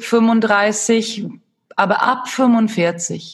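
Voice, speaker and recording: A woman speaks at a fairly high pitch, somewhat breathy. Her intonation stays monotone and flat. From Sweden. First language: Swedish (speaking German). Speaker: movement and fitness instructor. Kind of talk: casual interview. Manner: halting.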